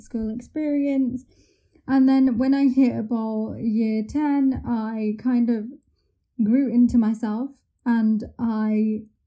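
Somewhat breathy and dark, mellow in tone, a woman's fairly high voice holds a monotone, flat intonation. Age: 20s. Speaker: university student, wheelchair user. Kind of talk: casual interview chat. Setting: virtual studio, remote call.

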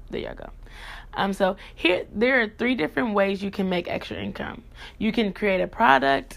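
A woman talks at a moderate pace with vocal fry and an animated tone. The recording is very clean, with a silent background. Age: young. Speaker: podcast host. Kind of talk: solo podcast talk.

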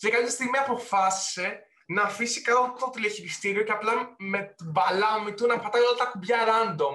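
A man speaks in a raised, projected voice, high in pitch, with ordinary pitch variation. His pace is moderate, with hardly any pauses. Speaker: podcast co-host. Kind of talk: casual chat.

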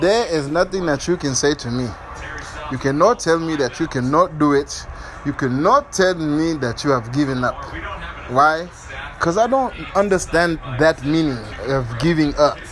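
The speech has ordinary pitch variation and long, frequent pauses, with noticeable background noise. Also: man, fairly high pitch for a man, moderate pace. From Angola. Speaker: podcast host. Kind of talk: casual chat; motivational speech. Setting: at home. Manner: animated.

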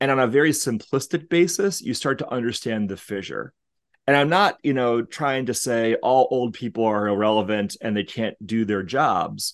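An ordinary speaking voice from a man at medium pitch, with lively intonation, at a moderate pace over a quiet background. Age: 40s. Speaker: business executive in influencer marketing. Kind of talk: podcast interview.

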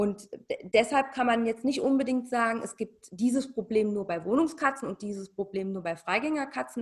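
This woman's voice is somewhat breathy and fairly high in pitch. She talks at a moderate pace with lively intonation. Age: 40s. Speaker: cat behaviour consultant. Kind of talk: casual interview.

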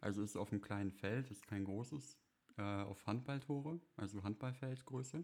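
Quiet and at a moderate pace, a man speaks at medium pitch with ordinary pitch variation and big swings in loudness. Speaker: podcast co-host. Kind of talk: casual chat. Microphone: crackling.

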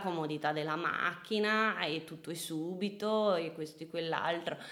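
Here is an ordinary speaking voice from a woman. She talks at a fairly slow pace with a fairly low pitch. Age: 20s. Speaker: nutritionist. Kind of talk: casual chat. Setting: at home.

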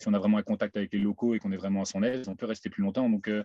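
A dark, mellow tone with fairly even intonation and a dry, close sound with no echo. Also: man. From Belgium, Mouscron. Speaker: manual worker and van traveller. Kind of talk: casual interview.

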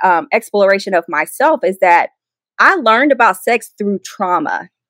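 An ordinary speaking voice from a woman, moderate in pace and fairly high in pitch. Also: dry, close sound with no echo. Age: 30s. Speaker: ministry founder. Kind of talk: testimony.

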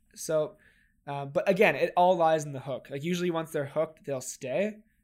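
A man with a Canadian accent talks fairly quickly in an unremarkable speaking voice, fairly high in pitch with fairly even intonation. The recording is very clean, with a silent background. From Toronto, Canada. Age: 20s. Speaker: e-commerce entrepreneur. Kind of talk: interview.

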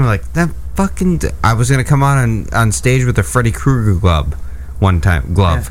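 Amid noticeable background noise, a man's voice makes very wide pitch swings. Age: 40s. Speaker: radio co-host. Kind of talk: casual chat.

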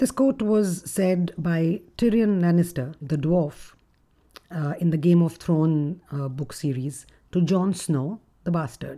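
A woman speaks slowly at a fairly low pitch. Her tone is dark and mellow, with ordinary pitch variation.

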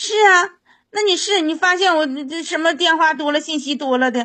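At a moderate pace, a woman talks in an extremely high voice with ordinary pitch variation. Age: 30s. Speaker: caller. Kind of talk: call-in conversation. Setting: phone call.

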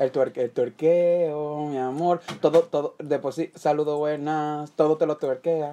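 A man speaks at a fairly slow pace with hardly any pauses. His voice is fairly high in pitch, with a dark, mellow tone. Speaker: podcast co-host. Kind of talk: casual chat. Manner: animated.

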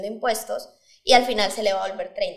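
This woman has an ordinary speaking voice with a fairly high pitch and ordinary pitch variation. She talks at a fairly quick pace. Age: 20s. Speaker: startup founder. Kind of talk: interview.

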